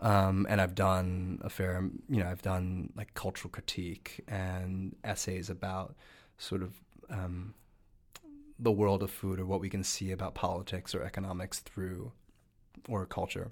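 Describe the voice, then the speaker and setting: A man with an American accent speaks at a very deep, low pitch. His pace is fairly slow and his intonation is monotone and flat. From New Jersey, US. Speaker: food writer and TV cooking judge. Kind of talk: interview. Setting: studio.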